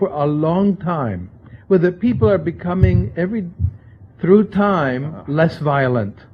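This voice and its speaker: A man's fairly high-pitched voice at a fairly slow pace, lively intonation, and noticeable background noise. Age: 60s. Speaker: libertarian think-tank scholar, book editor. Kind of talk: lecture.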